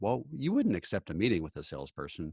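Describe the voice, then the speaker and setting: Against a quiet backdrop, a man is talking. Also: dry, close sound with no echo. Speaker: sales and marketing consultant. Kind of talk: interview. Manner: hesitant, many fillers.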